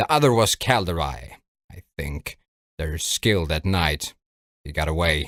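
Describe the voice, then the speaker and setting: This man uses a put-on character voice with a very deep, low pitch. He goes at a moderate pace, with long, frequent pauses. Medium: read story. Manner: dry, calm, coolly understated.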